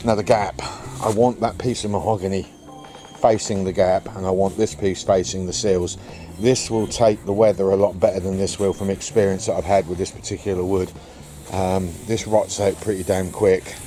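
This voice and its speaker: An unremarkable speaking voice at a moderate pace with fairly even intonation, a dry sound with no echo and light background noise. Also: man, fairly low pitch for a man. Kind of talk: casual vlog chat. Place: garden. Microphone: phone near.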